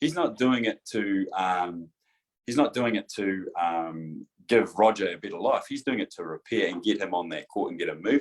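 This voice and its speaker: The speaker has a New Zealand accent and a moderate pace. The sound is dry and close, with no echo. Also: man. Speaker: chiropractor. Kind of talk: casual chat.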